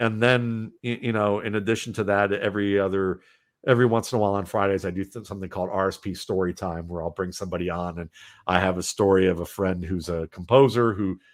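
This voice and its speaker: A fairly low-voiced man in an American accent at a very fast pace, over a quiet background. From US Midwest, Cleveland Ohio. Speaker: football analyst. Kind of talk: podcast interview. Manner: halting.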